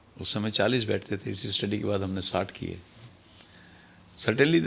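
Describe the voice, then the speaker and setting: Vocal fry marks this man's fairly low voice. He speaks at a moderate pace with ordinary pitch variation. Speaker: retired senior law enforcement officer. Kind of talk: podcast interview.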